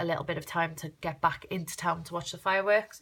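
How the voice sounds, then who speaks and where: A woman in a South Wales accent, fairly low in pitch, with a bright, sharp tone, flat monotone intonation and a fairly quick pace. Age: 30s. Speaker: crafter vlogger. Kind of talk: casual vlog walkthrough. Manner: fast; chatty.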